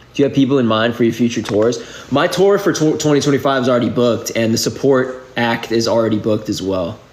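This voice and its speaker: Against noticeable background noise, a man with an American accent talks at a very fast pace with very even loudness. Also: medium pitch for a man, ordinary pitch variation. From New England, outside Boston. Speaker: musician. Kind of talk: casual livestream Q&A. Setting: live video stream. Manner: casual, filler-heavy speech.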